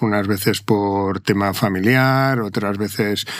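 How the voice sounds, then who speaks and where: A man with a fairly low pitch and fairly even intonation at a very slow pace. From Madrid, Spain. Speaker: corporate lawyer, company secretary. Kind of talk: interview conversation. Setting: video podcast studio.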